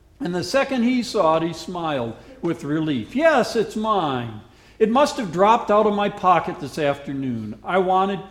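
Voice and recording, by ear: Someone reads aloud. The voice is natural.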